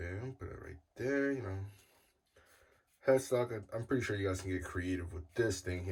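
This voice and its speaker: Somewhat breathy, a man speaks at a moderate pace. His pitch is fairly low, with ordinary pitch variation. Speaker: guitar builder youtuber. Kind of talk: tutorial. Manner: casual, filler-heavy.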